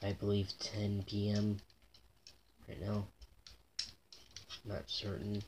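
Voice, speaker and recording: Quiet speech moves at a very slow pace, broken by long, frequent pauses, over noticeable background noise. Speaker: toy unboxing vlogger. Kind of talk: casual unboxing vlog. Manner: repetitive, halting with fillers. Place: home room.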